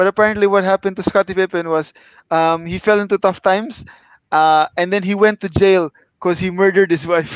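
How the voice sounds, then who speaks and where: Dry and close with no echo, a man's high-pitched voice moves at a fairly quick pace with fairly even intonation. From Philippines, Manila. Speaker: podcast co-host. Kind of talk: casual chat. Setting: video call.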